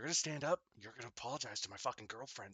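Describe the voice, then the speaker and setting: A man speaks very fast in a put-on character voice. His pitch is medium and his intonation lively. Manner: menacing, confrontational.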